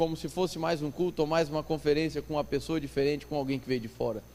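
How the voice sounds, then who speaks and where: This man's voice sits at a fairly high pitch. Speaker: pastor. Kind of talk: sermon. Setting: church conference with audience. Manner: fast; animated.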